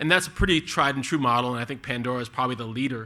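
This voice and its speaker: A man's medium-pitched voice, bright and sharp in tone, with fairly even intonation. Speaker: venture capital investor. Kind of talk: panel discussion. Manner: fast.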